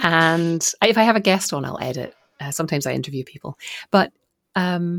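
A woman with a Scottish accent speaks fairly quickly with lively intonation at a fairly low pitch, the recording very clean with a silent background and a dry, close sound with no echo. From Scotland. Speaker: author and podcaster. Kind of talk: casual interview chat.

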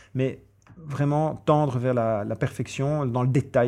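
A man with a dark, mellow tone talks at a moderate pace and medium pitch with fairly even intonation, on a very clean recording with a silent background. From Brussels, Belgium. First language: English (speaking French). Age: 40s. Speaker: event organizer. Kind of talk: interview. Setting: hotel recording. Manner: halting, repeats words.

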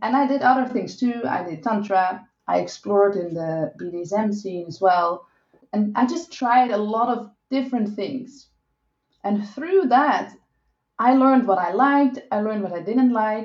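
With a Dutch accent, a woman speaks at a fairly high pitch and a fairly slow pace, her intonation lively. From Netherlands. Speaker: sex and relationship coach. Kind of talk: interview.

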